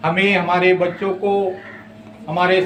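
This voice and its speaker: Amid noticeable background noise and audible room echo, a man with a Central Indian accent speaks in a high pitch. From Maharashtra, India. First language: Gondi (speaking Hindi). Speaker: Gond community activist. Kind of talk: interview / speech on language rights. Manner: impassioned.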